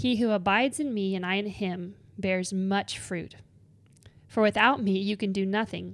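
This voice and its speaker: With a normal speaking voice, a woman talks at a medium pitch and a moderate pace, her intonation fairly even. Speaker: podcast co-host. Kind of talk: casual chat about faith.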